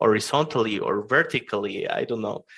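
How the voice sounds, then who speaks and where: A man is talking. His accent is non-native. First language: not English. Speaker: software engineer. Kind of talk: interview. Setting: podcast interview. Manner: hesitant, many fillers.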